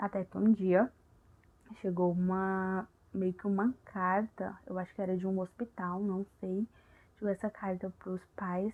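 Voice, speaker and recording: A soft-spoken woman's voice at medium pitch, dark and mellow in tone, with monotone, flat intonation, a fairly slow pace, and a dry, close sound with no echo. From Brazil. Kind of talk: ASMR, casual chat retelling a film plot.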